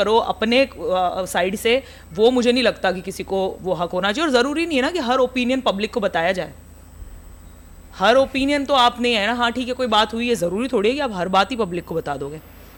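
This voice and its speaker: A woman with an Indori accent talks at a moderate pace with lively intonation. Her pitch is fairly high. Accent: Indori Hindi accent, also in her English. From India, Indore (Malwa region). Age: 30s. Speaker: comedian and content creator. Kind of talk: casual podcast interview. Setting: podcast studio.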